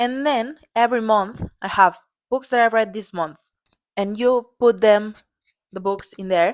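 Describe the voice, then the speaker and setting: In a non-native accent, a woman at fairly high pitch speaks at a fairly slow pace, with long, frequent pauses and big swings in loudness. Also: ordinary pitch variation. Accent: non-native English, self-described as bad. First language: Catalan. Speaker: book vlogger. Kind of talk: tutorial. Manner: halting; casual.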